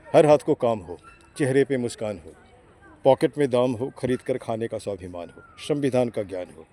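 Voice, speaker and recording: A man talks at a moderate pace with lively intonation, leaving long, frequent pauses. There is noticeable background noise. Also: big swings in loudness. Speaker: interviewer. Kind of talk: street interview questions.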